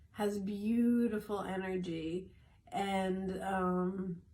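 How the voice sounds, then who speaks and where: Flat, monotone intonation is heard with audible room echo. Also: woman. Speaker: wellness coach sharing daily tips. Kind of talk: short morning video talk. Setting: in a greenhouse.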